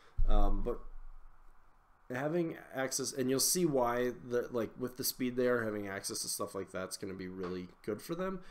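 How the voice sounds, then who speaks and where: Intonation here is lively. The man's pitch sits in the middle range. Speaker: tabletop wargame content creator. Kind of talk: live stream commentary. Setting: live stream from computer. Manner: fast; many filler words.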